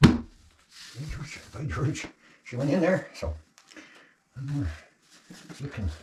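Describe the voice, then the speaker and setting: A man's very slow mumbling, broken by long, frequent pauses, with big swings in loudness. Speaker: off-grid homesteader vlogger. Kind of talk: casual DIY vlog narration. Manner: mumbling to himself.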